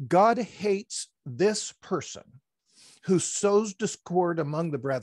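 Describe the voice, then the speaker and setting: The pace is very slow, with lively intonation. The sound is dry with no echo against a quiet background. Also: man. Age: 60s. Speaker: retired pastor; pastor, podcast guest. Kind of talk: interview, explaining Bible passages; interview answer. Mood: calm, explanatory. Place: home room. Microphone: headset.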